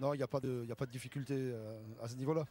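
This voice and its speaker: A man with a southern French accent talks at a very fast pace and medium pitch with fairly even intonation. The recording is very clean, with a silent background. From southern France, Béziers, Hérault. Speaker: rugby coach. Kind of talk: TV interview. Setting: outdoors at rugby stadium. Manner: hesitant, many fillers.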